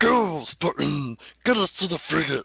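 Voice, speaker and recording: This is a raspy, put-on character voice. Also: man. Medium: read story. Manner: formal, solemn.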